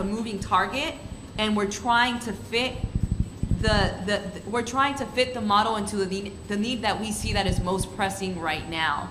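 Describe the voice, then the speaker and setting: Moderate pace and ordinary pitch variation, with audible room echo and noticeable background noise. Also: woman. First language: Spanish. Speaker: student panelist. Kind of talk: panel discussion.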